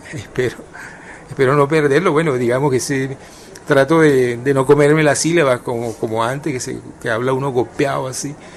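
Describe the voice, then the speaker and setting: Delivered at a fairly quick pace with fairly even intonation, the speech sits over noticeable background noise. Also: man, medium pitch for a man. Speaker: writer and journalist. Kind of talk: radio interview. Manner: hesitant, many fillers and repetitions; tries to pronounce carefully, not clipped.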